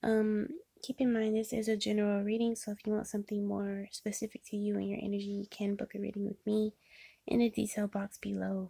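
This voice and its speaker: A woman speaks at a medium pitch and a fairly quick pace, somewhat breathy. Her intonation is monotone and flat, with a dry, close sound with no echo. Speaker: tarot reader. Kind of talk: tarot reading monologue. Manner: many filler ums, casual.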